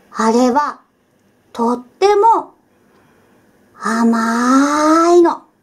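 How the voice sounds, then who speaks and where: A woman's high-pitched voice at a very slow pace, with long, frequent pauses and very wide pitch swings. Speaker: voice actor. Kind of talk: picture book read-aloud for children.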